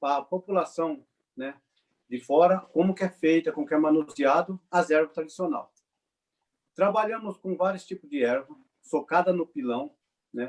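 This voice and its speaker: A man speaks with a high pitch at a moderate pace. The sound is dry and close, with no echo. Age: 40s. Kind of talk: webinar talk.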